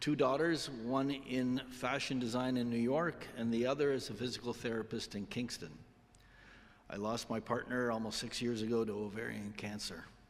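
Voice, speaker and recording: With a Canadian accent, a man talks in a normal speaking voice at medium pitch, keeping a moderate pace and fairly even intonation. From Toronto, Canada. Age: 60s. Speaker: retired engineer. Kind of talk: self-introduction speech.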